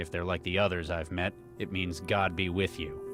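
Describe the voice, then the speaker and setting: In a put-on character voice, a man speaks at a moderate pace in a very deep, low pitch over clear background music. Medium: video game. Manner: blunt, dry, terse.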